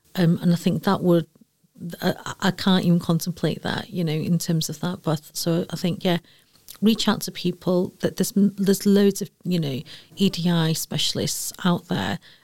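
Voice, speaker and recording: A woman with a Manchester accent speaks at a fairly low pitch and a moderate pace. Her delivery is somewhat breathy and monotone, with flat intonation. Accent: Mancunian, broad. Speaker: EDI director at a university. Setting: lounge, in person.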